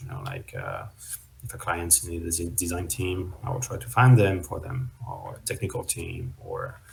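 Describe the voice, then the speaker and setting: Very deep, low pitch from a man with a French accent, somewhat breathy, with lively intonation and a fairly slow pace. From France. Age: 30s. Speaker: web3 consultant and startup founder. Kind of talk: interview. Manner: hesitant, many fillers.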